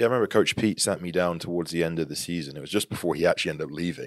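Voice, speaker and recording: A man with a West Country accent, very deep and low in pitch, at a very fast pace with ordinary pitch variation, in a very clean recording with a silent background. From England, Devon (Tavistock near Plymouth). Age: 30s. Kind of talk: casual interview chat. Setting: office studio.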